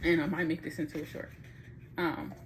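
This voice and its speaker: Here a woman talks. She keeps her intonation fairly even. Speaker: vlogger giving advice. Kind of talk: tutorial. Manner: fast; casual, halting.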